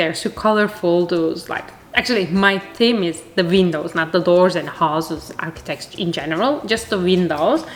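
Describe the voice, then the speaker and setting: Against noticeable background noise, a woman speaks at a medium pitch with a Turkish accent. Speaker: art youtuber. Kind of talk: casual vlog chat while crafting. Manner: chatty; halting, many fillers.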